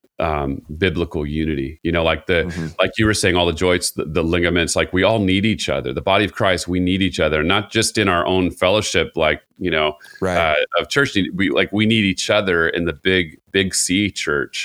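Someone speaks with an American accent at a moderate pace, pitch varying in an ordinary way. The recording is very clean, with a silent background. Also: man, very deep, low pitch for a man. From Southern California, Costa Mesa. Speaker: worship pastor. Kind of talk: casual conversation.

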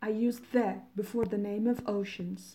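Speaking at a fairly slow pace, a woman with a Persian accent has a dark, mellow tone. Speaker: English teacher podcaster. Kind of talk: vocabulary tutorial. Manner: slow, instructive.

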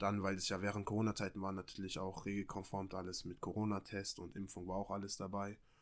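Hardly pausing, a man rattles along at a very fast pace in a fairly low pitch with monotone, flat intonation. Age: 20s. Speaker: amateur model and footballer. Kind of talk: casual chat.

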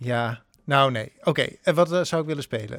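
A man's unremarkable speaking voice at a medium pitch and moderate pace, in a very clean recording with a silent background. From Netherlands, northern Drenthe. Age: 30s. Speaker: theatre actor and improv teacher. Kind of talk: casual chat.

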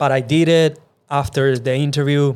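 Speaking with a Venezuelan accent, a man keeps a moderate pace and fairly even intonation at a fairly high pitch. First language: Spanish. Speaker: podcast host. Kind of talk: casual chat.

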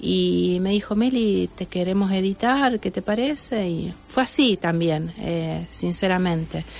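Against noticeable background noise, a woman with a medium pitch speaks at a fairly slow pace with lively intonation. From Argentina, Santa Fe. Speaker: novelist. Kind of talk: casual interview. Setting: radio studio.

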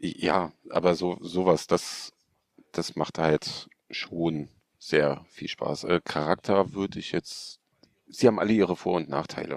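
A man speaks at a very slow pace in a very deep, low pitch with ordinary pitch variation. The sound is dry and close with no echo. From Hanover, northern Germany. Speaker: cosplayer. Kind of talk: casual chat.

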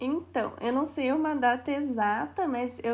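Speaking with a Paraná accent, a woman uses a high pitch and ordinary pitch variation at a fairly slow pace. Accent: Paraná interior. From Paraná, Brazil (Castro, interior). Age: 20s. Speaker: thrift store owner. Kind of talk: casual interview chat.

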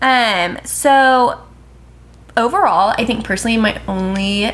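A woman speaks at a medium pitch with ordinary pitch variation. It is an unremarkable speaking voice. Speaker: podcast co-host. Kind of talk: casual chat. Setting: sitting on a bed with roommate present.

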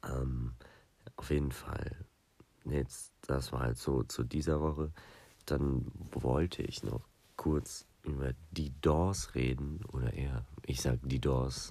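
At a very slow pace, a man speaks with a very deep, low pitch and a dark, mellow tone. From southern Germany, Lake Constance. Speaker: podcast host. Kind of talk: casual solo podcast chat. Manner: rambling, many fillers.

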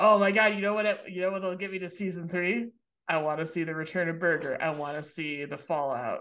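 A woman talks fairly quickly in an unremarkable speaking voice. Her pitch sits fairly low and varies in an ordinary way. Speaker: podcast host. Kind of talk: casual chat.

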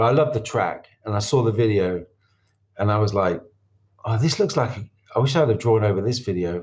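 A somewhat breathy man with a fairly low pitch talks at a fairly quick pace on a very clean recording with a silent background. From northern England, Doncaster. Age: 40s. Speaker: animator and music video director. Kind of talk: interview.

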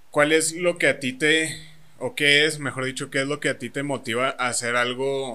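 A man talks at a moderate pace with hardly any pauses. His medium-pitched voice has a bright, sharp tone. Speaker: podcast co-host. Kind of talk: casual chat.

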